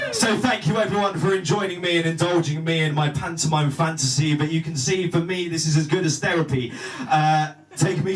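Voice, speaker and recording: A man with a southern English accent talks at a fairly quick pace. His pitch is fairly high, and noticeable background noise can be heard. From southern England. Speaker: spoken word poet. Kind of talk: spoken word performance.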